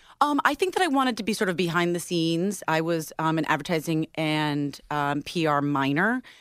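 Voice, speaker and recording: On a very clean recording with a silent background, a woman speaks in a plain, everyday voice at a fairly low pitch and a fairly quick pace, with lively intonation and hardly any pauses. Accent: American. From upstate New York. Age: 30s. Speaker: radio DJ. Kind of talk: casual chat.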